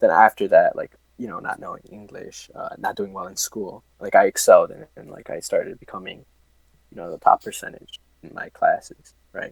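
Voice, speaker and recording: A man talks at a fairly quick pace with big swings in loudness, in a dry, close sound with no echo. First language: Spanish. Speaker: engineering student. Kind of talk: casual interview.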